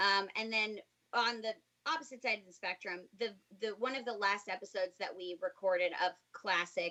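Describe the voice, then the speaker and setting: A woman with an unremarkable speaking voice talks at a moderate pace and medium pitch, with ordinary pitch variation and big swings in loudness. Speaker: voice actor, English dub of an animated series. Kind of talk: interview answer. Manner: conversational, warm.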